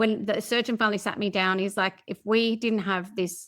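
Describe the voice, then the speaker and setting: Over a silent background in a very clean recording, a woman speaks at a fairly quick pace. Her Australian accent comes through a monotone, flat intonation. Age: 40s. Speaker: podcast guest, personal development coach. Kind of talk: interview, personal story.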